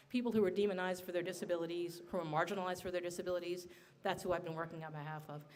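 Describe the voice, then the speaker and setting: Audible room echo surrounds a woman talking at a very fast pace. Her fairly low pitch holds fairly even intonation. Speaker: state senator. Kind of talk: panel speech. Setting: bar event with audience. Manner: soft-spoken; calm, low energy.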